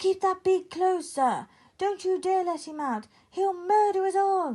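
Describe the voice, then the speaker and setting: Bellowing in a put-on character voice, a woman speaks at a moderate pace, squeaky and extremely high in pitch. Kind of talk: comic overacting. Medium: read story. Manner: blustering, bellowing.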